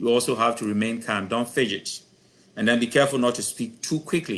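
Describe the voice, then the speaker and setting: A man speaks in a plain, everyday voice with ordinary pitch variation. The background is quiet. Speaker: professor giving a career talk. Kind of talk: lecture.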